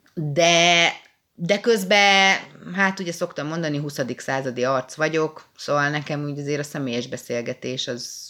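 A woman's voice sits very deep and low, with ordinary pitch variation. Her tone is bright and sharp. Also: fairly slow pace. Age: 30s. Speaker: podcast co-host. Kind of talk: casual chat.

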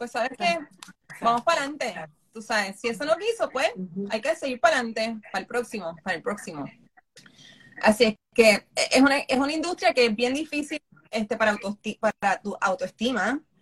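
A woman at a high pitch with lively intonation and a fairly quick pace, broken by long, frequent pauses, in a dry, close sound with no echo. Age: 50s. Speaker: makeup artist. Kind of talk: interview.

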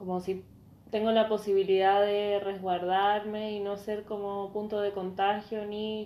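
With a Chilean accent, a woman speaks at a medium pitch and fairly slow pace in a dark, mellow tone, her intonation monotone and flat while her loudness swings widely. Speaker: podcast co-host. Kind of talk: casual chat.

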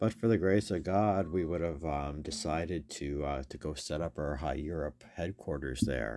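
A man with a very deep, low voice and vocal fry speaks at a moderate pace with hardly any pauses. His pitch varies in an ordinary way. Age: 50s. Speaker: magazine editor and podcast host. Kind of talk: casual solo monologue.

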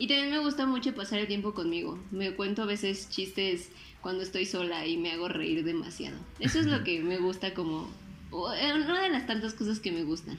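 In a Mexican accent, a woman speaks at a medium pitch and moderate pace with lively intonation, and audible room echo surrounds her. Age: 20s. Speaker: podcaster and designer. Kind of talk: casual chat. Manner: animated.

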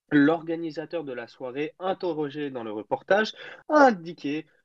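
A man with a fairly high voice and lively intonation speaks in an ordinary speaking voice, recorded dry and close with no echo against a quiet background. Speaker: podcast columnist. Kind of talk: news reading.

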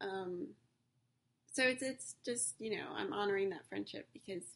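Very wide pitch swings and vocal fry mark this voice, which moves at a moderate pace. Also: woman. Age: 40s. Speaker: podcaster. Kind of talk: personal monologue. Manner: halting.

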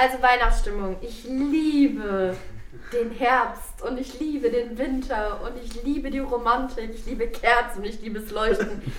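Fairly slow speech with big swings in loudness comes through noticeable background noise and audible room echo. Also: woman, high pitch for a woman, fairly even intonation. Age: 30s. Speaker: youth worker, educator. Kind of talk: casual group chat.

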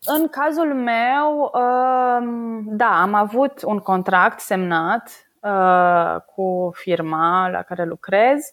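The pace is very slow, with lively intonation. The recording is very clean, with a silent background. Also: woman, fairly high pitch for a woman. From Romania, Săcele near Brașov. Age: 30s. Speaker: oil market analyst. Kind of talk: casual interview.

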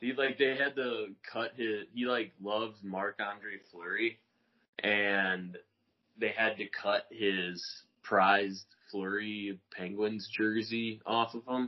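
His intonation is fairly even. The man talks very slowly. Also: fairly low pitch for a man. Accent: American. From US Midwest, Rockford, Illinois. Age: 30s. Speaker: rollerblader. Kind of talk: casual chat. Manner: halting, many fillers.

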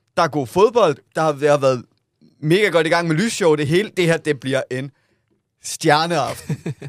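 Using an ordinary speaking voice, a man talks at a fairly slow pace and a fairly high pitch, with ordinary pitch variation. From Southern Jutland, Denmark. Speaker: podcast co-host. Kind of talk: casual chat.

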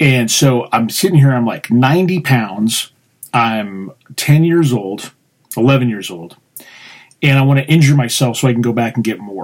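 In an American accent, a man with a plain, everyday voice speaks at medium pitch and a fairly slow pace, with lively intonation. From Colorado. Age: 30s. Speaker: podcast host and poet. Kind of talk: casual chat.

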